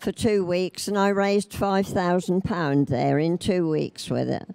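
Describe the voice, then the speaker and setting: With a Norfolk accent and a dark, mellow tone, a woman speaks at a fairly slow pace with ordinary pitch variation, the sound dry and close with no echo. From Norfolk, England. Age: 80s+. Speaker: knitter. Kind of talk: speech to an exhibition audience.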